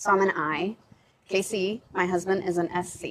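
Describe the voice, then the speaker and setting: The woman's voice sits at a medium pitch. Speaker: women's ministry podcast host. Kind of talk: casual panel discussion. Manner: loud; animated.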